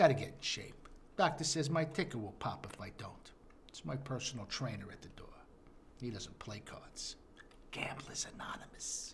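Putting on a raspy character voice at medium pitch, a man speaks at a moderate pace with big swings in loudness and long, frequent pauses. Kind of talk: mob drama. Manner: impatient, irritable.

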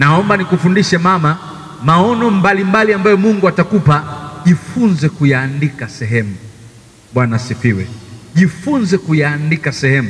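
This man's intonation is lively. He keeps a moderate pace. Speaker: seminar teacher. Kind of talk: sermon. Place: church. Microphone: handheld.

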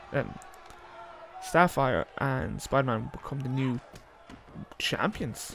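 Over noticeable background noise, a man speaks at medium pitch and a very slow pace. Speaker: wrestling commentator. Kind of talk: live wrestling match commentary. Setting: video game wrestling show. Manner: clipped, breathless move-by-move calls.

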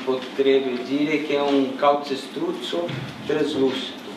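With a Brazilian accent, a man speaks at a fairly high pitch amid noticeable background noise and audible room echo. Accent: Brazilian-accented Italian. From Brazil, São Paulo. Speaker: architect and professor. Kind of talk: architecture lecture with slides. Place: hall. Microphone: camera far.

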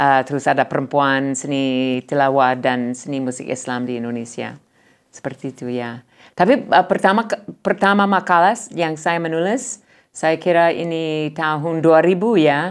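A woman with an English accent and a very deep, low pitch speaks at a moderate pace with lively intonation against a quiet background. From United States. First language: English (speaking Indonesian). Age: 60s. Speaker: professor, ethnomusicologist; professor. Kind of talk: interview. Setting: studio. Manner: halting. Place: studio. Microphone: lapel.

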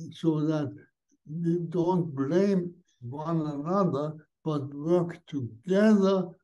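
A man speaks with a German accent at a very slow pace. His tone is dark and mellow, and somewhat breathy. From Austria. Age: 80s+. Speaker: Benedictine monk, spiritual teacher. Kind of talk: interview answer. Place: home room. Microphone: video call.

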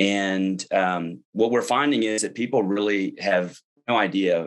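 At a fairly slow pace, a man with a Texan accent speaks in a fairly low pitch with ordinary pitch variation against a quiet background. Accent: Texan American English. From Texas. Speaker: political candidate; candidate. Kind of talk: interview. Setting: online webinar. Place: home room. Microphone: webcam.

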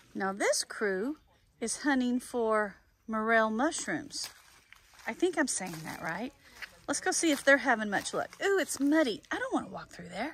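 A woman with a fairly high pitch and a fairly bright tone carries a slightly husky edge as her pitch swings a lot. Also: fairly slow pace.

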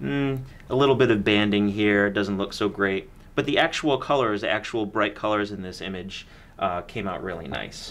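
This man has an unremarkable speaking voice, fairly low in pitch, with ordinary pitch variation at a moderate pace. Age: 30s. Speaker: camera store video host. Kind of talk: product review chat. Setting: studio. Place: studio.

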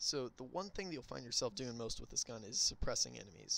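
Using vocal fry, a man of medium pitch talks at a moderate pace. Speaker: gaming YouTuber. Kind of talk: gun review video commentary.

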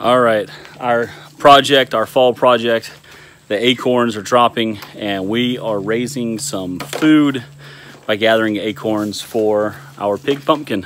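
Very slowly, a man speaks with ordinary pitch variation. The sound is dry with no echo, over light background noise. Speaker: homesteading vlogger. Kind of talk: casual vlog chat. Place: garden. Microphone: phone near.

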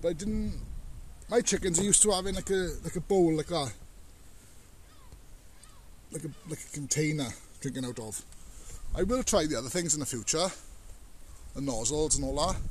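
The tone is slightly mellow, and the pitch varies in an ordinary way. Pauses come long and often. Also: man, fairly high pitch for a man, moderate pace.

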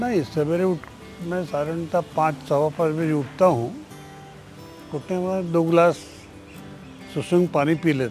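With clear music in the background and a dry sound with no echo, a man talks at a very slow pace in a fairly high pitch, with big swings in loudness and long, frequent pauses. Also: ordinary pitch variation. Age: 80s+. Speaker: former politician and activist; interviewee. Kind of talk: interview.

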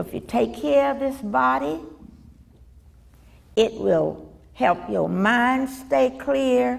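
A woman speaks with a Southern US accent at a very slow pace, with long, frequent pauses. Her pitch is fairly low and swings very widely. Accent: Southern American. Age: 80s+. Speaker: retired elementary school teacher. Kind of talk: interview answer.

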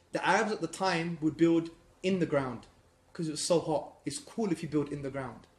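Audible room echo surrounds a man's voice. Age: 30s. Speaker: Islamic lecturer. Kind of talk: lecture. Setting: stage with audience. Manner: animated. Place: classroom. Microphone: phone near.

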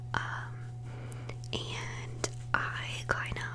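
A woman speaks softly. Noticeable background noise can be heard. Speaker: makeup vlogger. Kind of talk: casual vlog chat. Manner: soft, close-mic ASMR speaking voice. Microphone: studio mic.

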